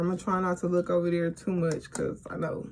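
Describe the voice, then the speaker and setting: A woman talking at a medium pitch and a moderate pace is accompanied by noticeable background noise. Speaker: beauty and storytime vlogger. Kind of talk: casual storytime monologue. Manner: animated.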